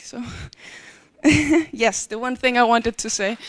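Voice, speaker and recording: A woman talks at a fairly high pitch. Vocal fry runs through her voice. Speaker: conference speaker. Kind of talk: conference talk. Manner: halting.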